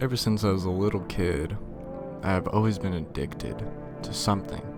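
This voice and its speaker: With music in the background, a man of fairly low pitch speaks at a moderate pace. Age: 20s. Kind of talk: casual personal monologue into mic.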